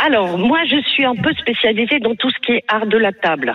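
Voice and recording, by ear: A woman's voice carries a slightly husky edge. She speaks at a fairly quick pace. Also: fairly high pitch for a woman, lively intonation.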